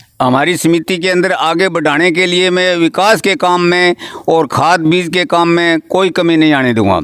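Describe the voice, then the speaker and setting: A high-pitched male voice with ordinary pitch variation and very even loudness. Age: 70s. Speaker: village cooperative society chairman. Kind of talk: interview. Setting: at his home.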